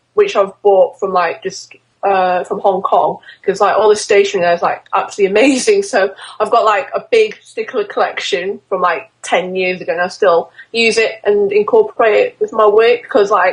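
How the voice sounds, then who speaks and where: A woman speaks at a moderate pace with a Yorkshire accent. Her medium pitch carries fairly even intonation. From northern England, Doncaster. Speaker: fashion illustrator. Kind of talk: interview. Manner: hesitant, many fillers.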